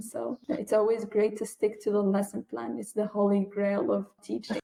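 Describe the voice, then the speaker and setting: The speaker has an Arabic accent and ordinary pitch variation. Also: woman. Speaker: English language teacher. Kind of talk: interview.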